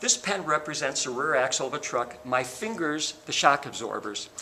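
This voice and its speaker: A man's fairly high voice at a moderate pace, with lively intonation over noticeable background noise. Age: 60s. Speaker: car salesman. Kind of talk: sales pitch. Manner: animated.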